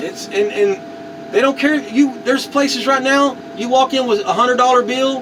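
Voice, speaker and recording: With an American accent, a man speaks at an extremely high pitch against noticeable background noise. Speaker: car crusher, military veteran, YouTuber. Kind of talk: casual vlog talk to camera.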